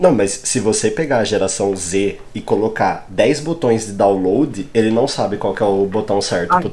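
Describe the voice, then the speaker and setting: A man talks at a fairly slow pace with lively intonation, a fairly low pitch, hardly any pauses, and noticeable background noise. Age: 20s. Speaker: podcast host. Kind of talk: casual chat. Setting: live stream.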